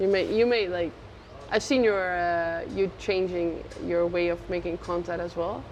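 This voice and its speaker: A plain, everyday voice from a woman, fairly low in pitch, with fairly even intonation and a fairly slow pace. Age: 20s. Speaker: Muay Thai fighter. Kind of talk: casual chat.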